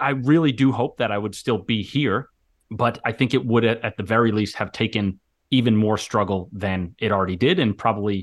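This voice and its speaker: A man speaks fairly quickly at a medium pitch with ordinary pitch variation, in a plain, everyday voice. The background is quiet. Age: 30s. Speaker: author and mental health coach. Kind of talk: interview.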